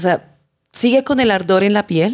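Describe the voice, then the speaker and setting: Speaking at a moderate pace, this is a woman. Her pitch is medium. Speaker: journalist, chronicle writer. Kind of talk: interview, storytelling.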